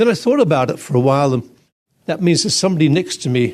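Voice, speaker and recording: A man talks with an Australian accent. His voice is somewhat breathy. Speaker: professor. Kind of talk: lecture. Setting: stage with audience. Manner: halting, repeats words.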